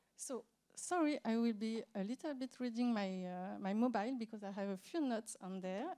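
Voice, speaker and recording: A woman with a dark, mellow tone talks at a fairly quick pace. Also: fairly high pitch for a woman, ordinary pitch variation. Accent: French. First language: French. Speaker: accessibility expert. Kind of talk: conference talk. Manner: halting, many fillers.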